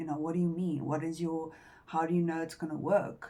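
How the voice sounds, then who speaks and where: A woman with a non-native accent speaks in a fairly low voice with a dark, mellow tone. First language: not English. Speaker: tarot reader. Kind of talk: tarot reading. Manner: halting.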